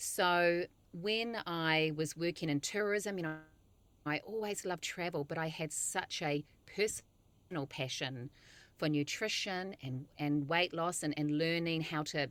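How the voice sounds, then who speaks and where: The recording is very clean, with a silent background, as a woman speaks in a New Zealand accent. Her fairly low pitch shows ordinary variation, and her pace is fairly slow. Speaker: nutritionist. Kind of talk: interview.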